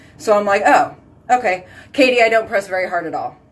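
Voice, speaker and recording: Loud and animated, a woman talks at a very fast pace. Her pitch is fairly high. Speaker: skincare consultant and live video host. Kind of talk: casual chat, live video storytelling. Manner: loud and boisterous.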